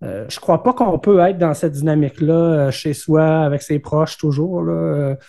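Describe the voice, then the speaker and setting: In a Quebec accent, a man speaks at a moderate pace with hardly any pauses, a dark, mellow tone, fairly high pitch and ordinary pitch variation. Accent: Québécois French. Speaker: entrepreneur. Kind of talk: interview. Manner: halting, many fillers and repetitions.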